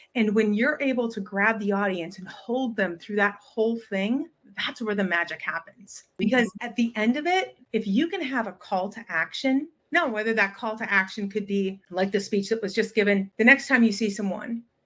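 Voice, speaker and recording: With a normal speaking voice, a woman talks at a moderate pace in a fairly high pitch, with ordinary pitch variation and hardly any pauses. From US Midwest. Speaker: communications and public speaking coach. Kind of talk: interview.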